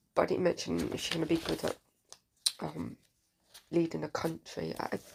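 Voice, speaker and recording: A woman mumbles her words. She keeps a moderate pace. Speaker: political commentator vlogger. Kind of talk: casual monologue. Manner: mumbling.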